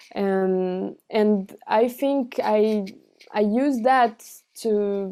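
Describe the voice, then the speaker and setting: A woman's fairly high pitch, dark and mellow in tone, with fairly even intonation, a very slow pace and a Portuguese accent. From Brazil, with childhood in France and teens in Buenos Aires. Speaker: cellist and singer. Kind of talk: interview. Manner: halting, many fillers and restarts.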